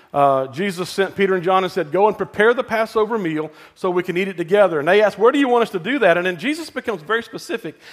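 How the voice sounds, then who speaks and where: Very fast speech in a Southern US accent, with ordinary pitch variation. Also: man. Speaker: pastor. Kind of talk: sermon. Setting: church.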